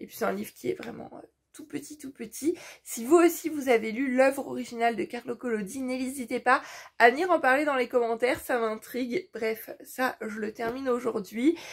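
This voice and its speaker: A woman with a high-pitched voice speaks at a moderate pace, her loudness swinging widely, on a very clean recording with a silent background. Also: ordinary pitch variation. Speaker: book vlogger. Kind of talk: casual vlog chat.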